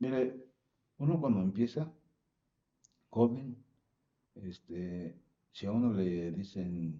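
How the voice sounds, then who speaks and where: A man's fairly low voice at a very slow pace, with lively intonation and long, frequent pauses. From Mexico City. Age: 60s. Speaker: retired truck driver. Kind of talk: interview. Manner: halting, many fillers.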